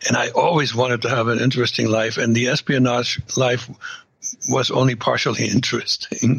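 A man with a German accent talks at a fairly quick pace in a monotone, flat intonation and very even loudness. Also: medium pitch for a man. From East Germany. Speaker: former KGB spy. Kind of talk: casual interview.

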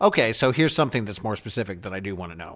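Vocal fry colors a man's speech. Behind him the background is silent on a very clean recording. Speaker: actor and podcast host taking over the show. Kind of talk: casual interview chat. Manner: animated, laughing.

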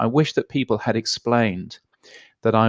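A man talks at a moderate pace with a dry, close sound with no echo, on a very clean recording with a silent background. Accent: British. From England. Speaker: radio and podcast consultant. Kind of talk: interview. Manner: halting with many fillers.

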